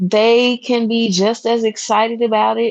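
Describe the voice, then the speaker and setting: Speaking at a very slow pace in a Memphis accent, a woman uses a fairly high pitch with ordinary pitch variation. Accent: Memphis Southern US. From Memphis, Tennessee, US South. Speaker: guest living in Japan. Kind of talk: casual podcast chat.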